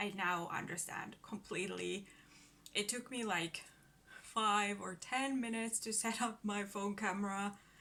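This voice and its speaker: A woman speaks fairly slowly with a Finnish accent, her pitch medium and her intonation fairly even. Her tone is bright and sharp. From Finland. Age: 30s. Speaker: book vlogger. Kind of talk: casual vlog introduction. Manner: halting.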